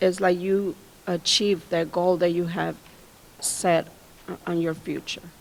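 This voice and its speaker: Speaking in a Spanish accent, the woman keeps a fairly slow pace. Her intonation is monotone and flat. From Mexico. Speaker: college staff panelist. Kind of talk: panel discussion.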